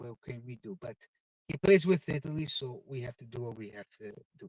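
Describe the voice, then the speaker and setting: With lively intonation, a man's voice comes across dry and close, with no echo at all. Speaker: football livestream host. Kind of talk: casual live stream chat. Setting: in a car. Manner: loud; animated.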